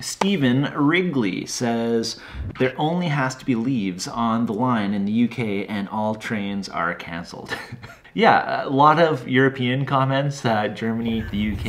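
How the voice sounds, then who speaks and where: Light background noise sits behind a man whose loudness swings widely. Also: fairly slow pace. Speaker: railway conductor answering viewer comments. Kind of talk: casual vlog chat. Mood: amused, relaxed. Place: home room.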